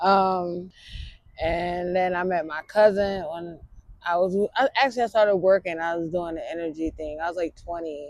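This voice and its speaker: Her pitch fairly low, a woman talks with fairly even intonation and big swings in loudness. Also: moderate pace. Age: 30s. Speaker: homeless woman interviewed on the street. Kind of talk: street interview, personal life story. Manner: halting, many fillers.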